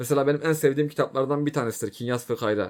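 This man's voice sits at a fairly high pitch with ordinary pitch variation. The recording is very clean, with a silent background. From Turkey. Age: 20s. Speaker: YouTuber. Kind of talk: casual monologue. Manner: informal.

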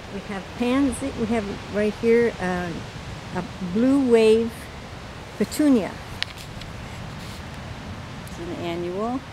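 Against clear background noise, a woman speaks at a slow pace with long, frequent pauses. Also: fairly high pitch for a woman, ordinary pitch variation.

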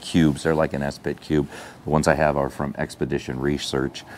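A man at a moderate pace over light background noise. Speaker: outdoor gear reviewer. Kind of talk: casual tutorial vlog. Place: open country. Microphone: lapel.

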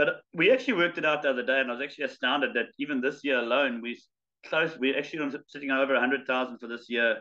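Over a quiet background, a man with a fairly high pitch speaks very fast with fairly even intonation. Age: 50s. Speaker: charity fundraiser and ultramarathon runner; guest. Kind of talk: casual interview chat. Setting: video call. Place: home room. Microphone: video call.

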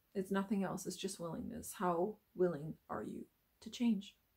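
This woman's voice sits at a medium pitch. It carries a somewhat breathy quality. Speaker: spiritual healer / self-help vlogger. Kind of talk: motivational monologue. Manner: hesitant with fillers.

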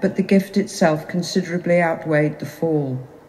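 A normal speaking voice, moderate in tempo, typical in its pitch movement. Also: woman. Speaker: lector reading scripture. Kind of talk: reading scripture aloud. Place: church. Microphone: camera far.

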